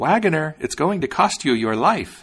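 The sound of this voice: This put-on character voice has a slightly husky edge, moves at a moderate pace and takes big pitch swings. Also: man, fairly high pitch for a man.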